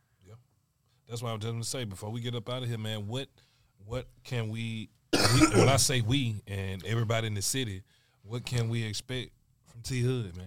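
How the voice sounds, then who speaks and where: A man speaks at a fairly quick pace and a medium pitch. His loudness swings a lot, and he leaves long, frequent pauses. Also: fairly even intonation. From US South, Alabama. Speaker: podcast co-host. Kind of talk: casual chat.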